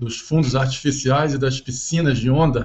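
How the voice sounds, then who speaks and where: A man's fairly high, somewhat breathy voice in a flat monotone. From Brazil, Rio de Janeiro (Ipanema). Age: 60s. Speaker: ocean engineering professor. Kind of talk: interview.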